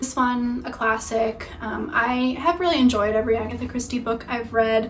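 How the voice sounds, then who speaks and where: There is noticeable background noise and audible room echo as a woman with a fairly high pitch speaks at a moderate pace in fairly even intonation. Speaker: book reviewer. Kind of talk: casual book recommendation monologue. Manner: casual with frequent fillers.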